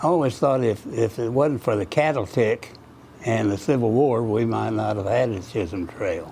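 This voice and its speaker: Over background music, a man talks at a moderate pace. His pitch is medium, with ordinary variation. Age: 80s+. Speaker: local historian. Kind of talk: storytelling talk at a dedication.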